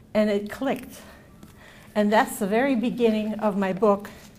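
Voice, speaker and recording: A woman is speaking. Room echo can be heard. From Yugoslavia, ethnic German minority. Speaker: author and camp survivor. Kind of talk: reading aloud; lecture. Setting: stage with audience.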